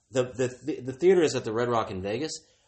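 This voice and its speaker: A man with an ordinary speaking voice talks at a medium pitch with lively intonation. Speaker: co-host. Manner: soft-spoken.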